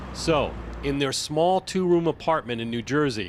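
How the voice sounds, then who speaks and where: This man has an ordinary speaking voice with a fairly high pitch. He moves at a moderate pace, and his pitch varies in an ordinary way. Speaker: television news correspondent and anchor. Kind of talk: broadcast news narration. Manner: measured, professional.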